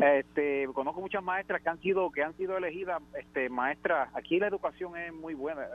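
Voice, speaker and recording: Talking at a moderate pace with hardly any pauses, a man uses a high pitch and ordinary pitch variation. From Puerto Rico (Naranjito). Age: 50s. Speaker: radio caller. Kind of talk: phone-in call.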